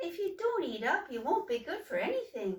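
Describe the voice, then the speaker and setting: A squeaky, put-on character voice moves at a moderate pace. Its pitch swings very widely. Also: woman. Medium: read story. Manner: motherly, coaxing.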